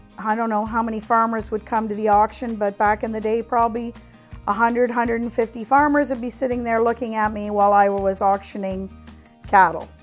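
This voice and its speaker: Over music in the background, a woman speaks at a fairly quick pace with a fairly high pitch and monotone, flat intonation. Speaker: auctioneer and company founder. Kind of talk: interview answer.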